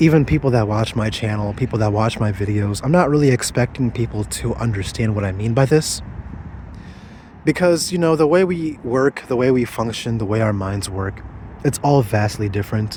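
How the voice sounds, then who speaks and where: A man with lively intonation talks at a moderate pace and a medium pitch while noticeable background noise carries on. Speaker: vlogger. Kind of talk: personal vlog monologue. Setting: outdoors. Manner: stuttering over words.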